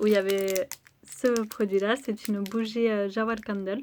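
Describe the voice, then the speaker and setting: A woman talks at a fairly slow pace in a fairly high voice. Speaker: beauty vlogger. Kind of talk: product review vlog.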